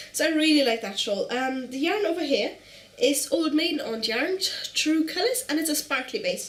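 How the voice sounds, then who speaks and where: A woman talks at a fairly quick pace and a high pitch, her voice making very wide pitch swings. Noticeable background noise comes through. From Germany. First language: German. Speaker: knitting podcaster. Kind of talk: casual show-and-tell vlog. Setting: at home on the couch. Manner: fast.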